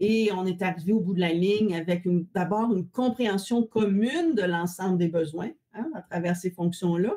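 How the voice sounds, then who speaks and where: Pitched at a medium level, a woman speaks in a dark, mellow tone with ordinary pitch variation. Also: moderate pace. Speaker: value analysis consultant. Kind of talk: webinar presentation. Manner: many filler hesitations.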